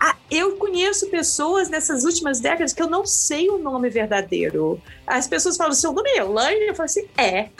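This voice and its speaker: A woman's extremely high voice with a Brazilian accent, very wide pitch swings, a moderate pace, hardly any pauses, very even loudness, and noticeable background noise. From Brazil, coastal town. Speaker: long-distance hiker. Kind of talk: interview. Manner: halting, many fillers.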